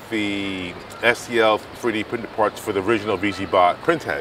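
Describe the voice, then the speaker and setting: A man is heard with light background noise. The sound is dry, with no echo. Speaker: maker channel host. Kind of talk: tutorial. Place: street.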